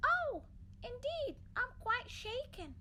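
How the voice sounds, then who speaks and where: Pitched extremely high, a squeaky put-on character voice sounds over light background noise. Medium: read story. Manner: polite, chirpy.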